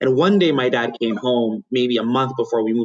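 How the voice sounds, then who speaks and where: A man with an Ethiopian accent speaks at a medium pitch. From Ethiopia and Yemen. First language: Amharic. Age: 30s. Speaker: private equity investor. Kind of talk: interview.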